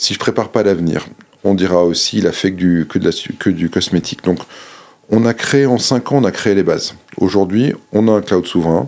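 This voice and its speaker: A man talks in an unremarkable speaking voice at a fairly low pitch. He keeps a moderate pace with ordinary pitch variation. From Monaco. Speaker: government digital official. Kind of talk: interview.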